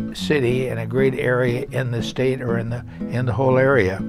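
A man speaks over clear music playing in the background. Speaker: former mayor. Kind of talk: casual talk to camera. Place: home room.

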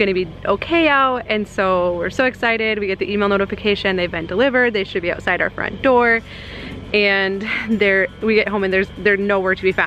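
Faint music plays in the background. A woman talks at a fairly quick pace. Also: ordinary pitch variation, dry sound with no echo. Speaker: family vlogger. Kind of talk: casual vlog chat. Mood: amused, storytelling. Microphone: phone near.

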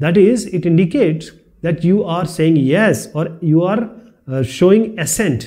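This man's voice is high-pitched, with a dark, mellow tone. He talks at a fairly slow pace, and the room echo is audible. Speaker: teacher. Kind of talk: lecture. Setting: video recording.

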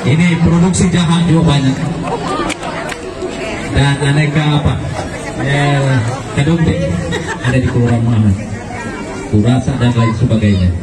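Speaking at a moderate pace with ordinary pitch variation, a man leaves long, frequent pauses as crowd noise carries in the background. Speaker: parade announcer. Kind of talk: event commentary. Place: street.

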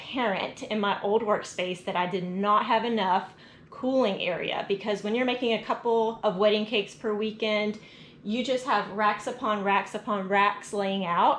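A woman speaks at a moderate pace with fairly even intonation, with audible room echo and light background noise. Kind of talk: casual vlog tour. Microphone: phone near.

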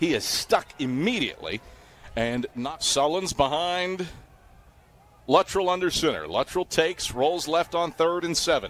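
A man with a high pitch speaks at a fairly slow pace in an excited tone with ordinary pitch variation. The sound is dry, with no echo. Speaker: football play-by-play commentator. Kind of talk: live play-by-play commentary over game highlights. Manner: rising, excited calls on touchdowns. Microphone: headset.

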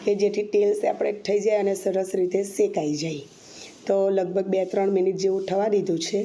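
A woman speaks at a medium pitch with a dark, mellow tone. Her intonation stays monotone and flat. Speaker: cooking channel host. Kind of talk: cooking tutorial.

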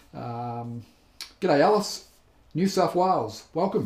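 A man speaks with an Australian accent. Audible room echo surrounds his voice. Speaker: painting instructor. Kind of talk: live tutorial chat. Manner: friendly, casual. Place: studio.

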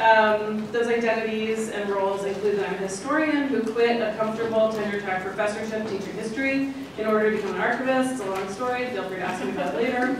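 Someone talks at a very fast pace with hardly any pauses and fairly even intonation. There is strong room echo and noticeable background noise. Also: woman, fairly high pitch for a woman. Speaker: archivist and former history professor. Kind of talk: conference talk. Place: hall.

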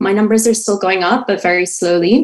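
Fairly even intonation from a woman, quiet background. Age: 20s. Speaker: caller, hospital worker; caller. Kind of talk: call-in question. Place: home room. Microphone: video call.

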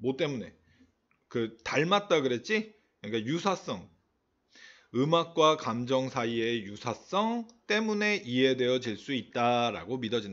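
With very wide pitch swings, a man of medium pitch speaks at a fairly slow pace, leaving long, frequent pauses, over a quiet background. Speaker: English teacher. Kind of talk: lecture. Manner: casual, filler-heavy explanation.

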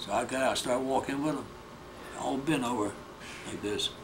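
Noticeable background noise accompanies a man talking at a fairly quick pace with ordinary pitch variation. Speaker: war veteran. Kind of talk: elderly veteran recounting prison-camp memories in an oral history interview. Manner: halting, repetitive short phrases; plain-spoken, matter-of-fact storytelling. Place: home room. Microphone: handheld.

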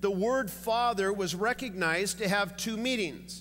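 Against light background noise, a man speaks at a moderate pace in a bright, sharp tone with ordinary pitch variation. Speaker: preacher. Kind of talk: sermon. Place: church. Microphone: headset.

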